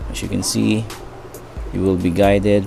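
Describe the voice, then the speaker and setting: Over music in the background, a man with a non-native accent and a very deep, low pitch talks at a moderate pace with lively intonation. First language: not English. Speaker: tech tutorial youtuber. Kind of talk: tutorial. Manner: halting, many fillers.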